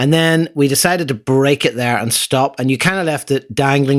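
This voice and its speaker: Moderately paced male speech with ordinary pitch variation, very clean recording, silent background. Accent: Irish. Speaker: podcast host. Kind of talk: casual chat.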